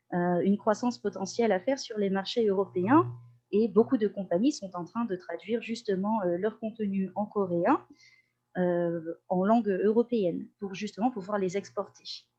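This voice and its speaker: Her voice dark and mellow, a woman speaks at medium pitch and a moderate pace with ordinary pitch variation. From Corsica (Ajaccio). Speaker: language teacher and translator. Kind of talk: podcast interview. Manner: hesitant, many euh fillers.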